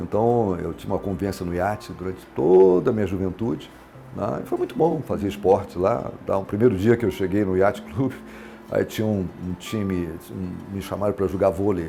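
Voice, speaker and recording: Over music in the background, a man talks at a fairly quick pace in a fairly low-pitched voice. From Minas Gerais, Brazil (Lavras), raised in Brasília from 12. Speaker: businessman, city pioneer. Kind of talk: oral history testimony. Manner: halting, many fillers and restarts.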